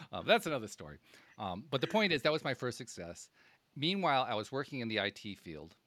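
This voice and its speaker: In a very clean recording with a silent background, a man with an American accent talks very fast at a medium pitch, with very wide pitch swings, big swings in loudness, and vocal fry. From upstate New York, Schenectady. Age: 60s. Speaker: podcast host. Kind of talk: interview conversation. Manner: halting, repeats words.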